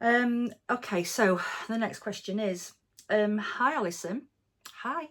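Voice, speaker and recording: A woman with an English Midlands accent speaks very slowly in a fairly high voice, with long, frequent pauses. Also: ordinary pitch variation. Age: 40s. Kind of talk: casual Q&A monologue. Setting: at home. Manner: relaxed, many fillers.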